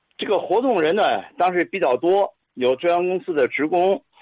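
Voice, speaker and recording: A man speaks in a high pitch. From Tianjin, China. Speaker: physical education teacher and listener. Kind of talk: storytelling reminiscence.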